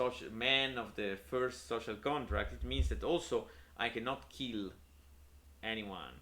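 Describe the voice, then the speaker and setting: Man with a strong Italian accent, medium pitch, vocal fry, very wide pitch swings, fairly slow pace. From Italy. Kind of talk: unscripted casual talk to camera on philosophy. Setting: home room, poor audio quality. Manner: hesitant, many filler words.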